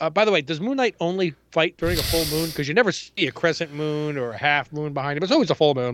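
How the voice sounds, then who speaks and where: A man with a New York accent talks very fast at a fairly high pitch, with ordinary pitch variation. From New York City (Queens). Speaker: comic book podcast co-host. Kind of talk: casual chat.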